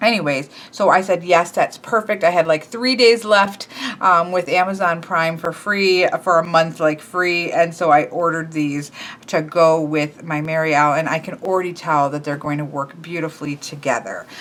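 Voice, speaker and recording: Against noticeable background noise, a woman with fairly low pitch speaks at a moderate pace with ordinary pitch variation. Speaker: tarot deck reviewer. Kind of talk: casual deck review video. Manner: casual with many fillers.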